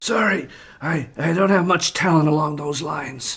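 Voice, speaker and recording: The speaker uses a raspy put-on character voice at a middle pitch and a moderate pace. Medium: machinima. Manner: hesitant, stammering.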